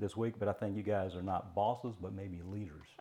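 With a Virginia accent, a man talks at a fairly quick pace and fairly low pitch. His tone is dark and mellow, with fairly even intonation. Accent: Southern US (Virginia). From Virginia, Mecklenburg County. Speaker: carpentry teacher. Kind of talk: casual interview.

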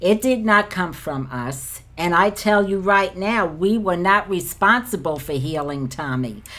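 A woman's plain, everyday voice at medium pitch, with lively intonation and a fairly slow pace. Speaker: podcast co-host. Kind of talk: scripture reading and devotional talk.

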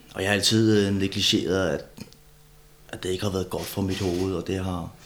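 Here a man with a very deep, low pitch speaks. His pace is moderate and his intonation fairly even. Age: 30s. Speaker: former bodybuilder and steroid user. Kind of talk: casual chat. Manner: halting, many repeated words.

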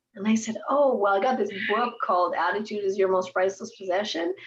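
The speaker sounds somewhat breathy, moving at a fairly quick pace with lively intonation. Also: woman. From western Canada, raised in Edmonton, Alberta. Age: 50s. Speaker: entrepreneur and speaker. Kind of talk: interview.

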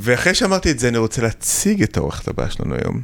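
A man talks with very wide pitch swings. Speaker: plastic surgeon, podcast host. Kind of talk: interview. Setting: studio.

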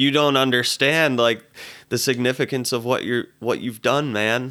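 A bright, sharp tone at a fairly slow pace. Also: man, very clean recording, silent background. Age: 20s. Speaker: musician. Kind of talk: casual chat.

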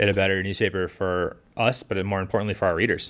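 A man talks fairly quickly at a fairly low pitch, in a normal speaking voice. The recording is very clean with a silent background. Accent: American. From Massachusetts South Shore (Scituate). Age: 30s. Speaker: local newspaper reporter. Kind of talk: casual chat.

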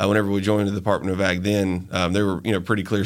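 This man speaks with a Southern US accent at a fairly low pitch. The recording is very clean, with a silent background. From US South, Montgomery, Alabama. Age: young. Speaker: hemp business owner. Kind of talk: interview.

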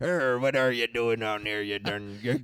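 A man's put-on character voice at a medium pitch and a fairly slow pace. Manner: over-the-top, dramatic.

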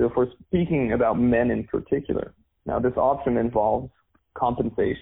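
With a Canadian accent and a plain, everyday voice, this man talks at a fairly quick pace, medium in pitch and very even in loudness. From Canada. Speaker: dating and men's coach. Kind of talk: interview. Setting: video call.

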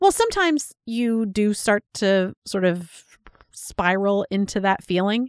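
An unremarkable speaking voice with lively intonation, on a very clean recording with a silent background and a dry, close sound with no echo. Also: woman. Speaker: podcast co-host. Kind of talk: casual chat.

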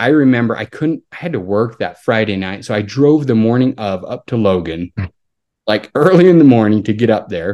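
A man with an American accent and a medium pitch speaks at a moderate pace with lively intonation. He has a plain, everyday voice. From Utah, Salt Lake area. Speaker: pharmacist and amateur cyclist. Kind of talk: casual interview.

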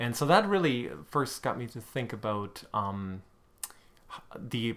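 A man speaks at a fairly slow pace with a German accent. His pitch varies in an ordinary way. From Germany (Hamburg). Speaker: literary scholar. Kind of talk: casual chat. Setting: kitchen table.

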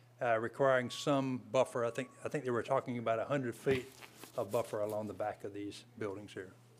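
A man with a plain, everyday voice, medium pitch and fairly even intonation. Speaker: county planning staff presenter. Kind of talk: public meeting presentation.

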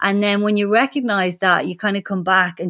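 A woman with a strong Irish accent at a medium pitch, on a very clean recording with a silent background. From Ireland. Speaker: animal communicator. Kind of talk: interview.

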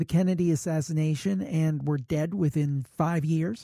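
The tone is dark and mellow, at a fairly slow pace. The sound is dry and close, with no echo. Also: man. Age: 50s. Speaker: paranormal podcaster. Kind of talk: interview.

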